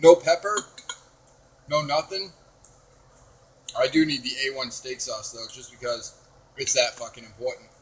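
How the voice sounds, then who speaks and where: Noticeable background noise behind a man's moderate-paced speech, broken by long, frequent pauses. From New Hampshire, New England. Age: 20s. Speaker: YouTuber, cooking livestream host. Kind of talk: casual livestream chat while cooking. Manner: animated, swearing casually.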